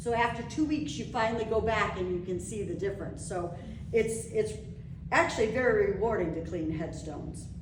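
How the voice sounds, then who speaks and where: A woman talks fairly quickly at medium pitch with lively intonation, with audible room echo and noticeable background noise. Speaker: local history society presenter. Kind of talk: slideshow presentation to a live audience. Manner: animated.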